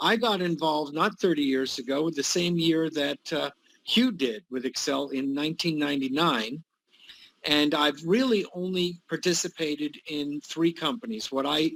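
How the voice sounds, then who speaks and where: A man with a fairly high pitch and ordinary pitch variation speaks at a moderate pace in a plain, everyday voice. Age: 60s. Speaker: retired executive, network marketer. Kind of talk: testimony.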